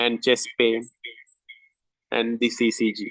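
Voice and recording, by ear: A man speaks slowly at a medium pitch. His tone is fairly bright, with vocal fry.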